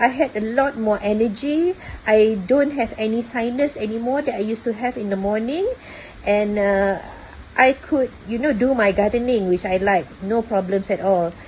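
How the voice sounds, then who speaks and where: A woman's fairly high voice comes through with clearly audible noise in the background. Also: ordinary pitch variation, moderate pace. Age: 60s. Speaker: retiree, former customer service worker. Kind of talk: testimonial to camera.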